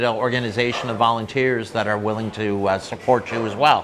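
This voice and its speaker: A medium-pitched man with fairly even intonation, amid noticeable background noise and audible room echo. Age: 60s. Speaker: charity founder and restaurant owner. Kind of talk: interview. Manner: halting, many fillers.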